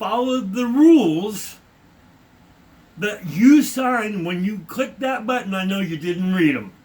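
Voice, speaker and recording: This man's voice sits high for a man, with an American accent and lively intonation. His tone is animated and his pace moderate. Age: 60s. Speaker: vlogger. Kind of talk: rant.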